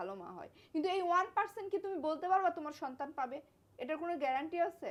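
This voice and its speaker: This woman's voice sits at an extremely high pitch, animated in tone, with ordinary pitch variation. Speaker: vlogger in couple skit. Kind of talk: heated couple argument.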